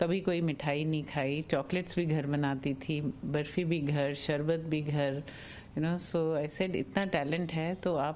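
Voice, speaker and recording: A woman's very deep, low voice at a fairly slow pace, with fairly even intonation over light background noise. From India. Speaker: entrepreneur's daughter. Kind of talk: interview. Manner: halting. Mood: warm, heartfelt. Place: home room. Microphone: handheld.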